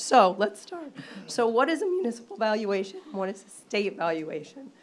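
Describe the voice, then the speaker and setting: Noticeable background noise sits behind a woman who speaks at a moderate pace with fairly high pitch and very wide pitch swings. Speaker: town assessor. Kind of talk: presentation at a public meeting. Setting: town board meeting.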